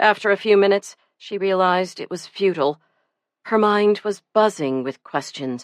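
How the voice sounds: Over a quiet background, the speaker reads in a natural reading voice.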